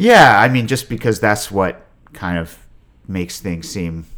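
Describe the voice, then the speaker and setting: Speaking at a moderate pace with an American accent, a man shows ordinary pitch variation. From Virginia, US. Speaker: long-distance walker. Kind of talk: casual interview.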